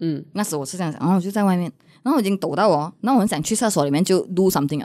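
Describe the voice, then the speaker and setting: A woman with a dark, mellow tone talks at a very fast pace with lively intonation over a quiet background. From Malaysia. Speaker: content creator. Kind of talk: casual chat. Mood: candid, reflective storytelling. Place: studio. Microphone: studio mic.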